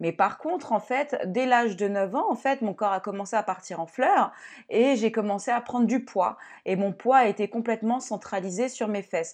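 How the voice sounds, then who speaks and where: Against a quiet background, a woman talks at a moderate pace in a fairly high pitch with ordinary pitch variation. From France, Cameroonian heritage. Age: 30s. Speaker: personal development coach and podcast host. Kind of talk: solo podcast monologue. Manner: casual, halting with fillers.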